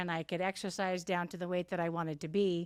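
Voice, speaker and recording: In a Californian accent, a woman talks very fast with fairly even intonation. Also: very clean recording, silent background. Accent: General American (Californian). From Southern California (Santa Ana). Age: 60s. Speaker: masters athlete, retired teacher. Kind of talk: interview conversation.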